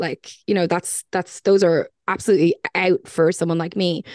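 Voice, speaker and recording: A woman talks at medium pitch in an Irish accent. The sound is dry and close with no echo, and the background is quiet. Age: 30s. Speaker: podcast guest. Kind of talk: casual chat.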